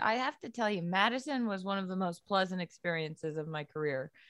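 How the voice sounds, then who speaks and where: A woman with a New England accent, medium pitch, very wide pitch swings and a fairly quick pace over a quiet background. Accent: New England American. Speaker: sports media personality and podcast host. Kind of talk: casual interview. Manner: animated.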